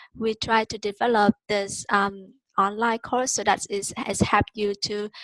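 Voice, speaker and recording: In a dry, close sound with no echo, a woman speaks at a fairly slow pace with a fairly high pitch. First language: Vietnamese. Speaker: online course tutor. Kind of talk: webinar teaching. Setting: video call. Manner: hesitant, many fillers.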